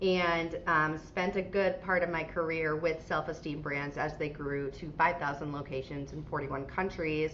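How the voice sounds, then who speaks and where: Over noticeable background noise, a woman with an American accent and a very deep, low pitch talks at a moderate pace with fairly even intonation and hardly any pauses. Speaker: franchise CEO. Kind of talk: podcast interview. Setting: video call.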